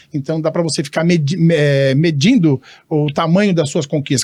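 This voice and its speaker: Here a man talks at a fairly quick pace with a fairly high pitch. His tone is animated. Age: 60s. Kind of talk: casual interview chat.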